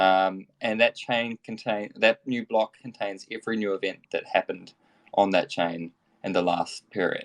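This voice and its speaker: A man with a New Zealand accent speaks at a moderate pace in a dry, close sound with no echo. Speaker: tech company executive. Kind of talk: interview. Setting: online audio room. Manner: mumbling.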